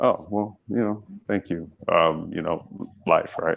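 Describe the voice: Vocal fry runs through the speech, which moves at a fairly slow pace. Pitch varies in an ordinary way. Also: man, low pitch for a man.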